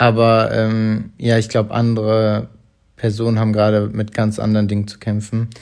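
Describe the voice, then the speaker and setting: A man at a moderate pace with monotone, flat intonation, on a very clean recording with a silent background. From Hamburg, northern Germany. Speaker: podcast co-host. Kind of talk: casual chat. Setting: at home on the sofa.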